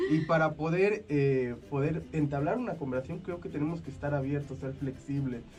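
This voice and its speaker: A man's fairly high voice at a moderate pace, with audible room echo. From Sierra Totonaca, Veracruz/Puebla, Mexico. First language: Totonac (Tutunakú) (speaking Spanish). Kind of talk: radio interview. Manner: halting, many fillers.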